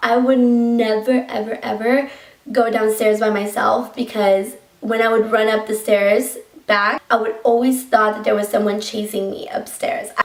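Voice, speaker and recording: Over noticeable background noise, a woman with a Colombian accent speaks at a moderate pace in a fairly high pitch with fairly even intonation. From Colombia, Bogota. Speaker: YouTuber. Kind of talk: story time vlog. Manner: casual, filler-heavy.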